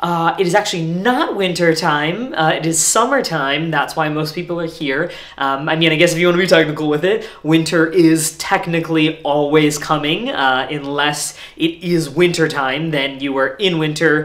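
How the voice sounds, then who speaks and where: Hardly any pauses break up the speech. The pace is moderate, with ordinary pitch variation. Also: man. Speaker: actor playing a hotel host. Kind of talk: comedy sketch dialogue.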